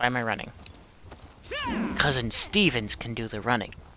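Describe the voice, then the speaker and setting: There is noticeable background noise behind this man. His pitch sits in the medium range and varies in an ordinary way. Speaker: streamer. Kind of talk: live gameplay stream. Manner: casual, chatty.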